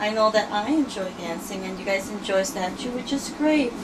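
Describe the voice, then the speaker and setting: There is noticeable background noise as a woman speaks. Her pitch variation is ordinary. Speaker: interviewee. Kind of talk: interview answer. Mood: friendly, good-humored. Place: home room. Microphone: phone near.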